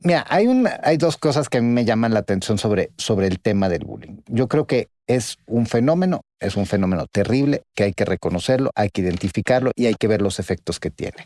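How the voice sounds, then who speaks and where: A man's medium-pitched voice with a dark, mellow tone and lively intonation, fairly quick with hardly any pauses, in a dry, close sound with no echo on a very clean recording with a silent background. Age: 50s. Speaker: podcast co-host. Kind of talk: casual conversation.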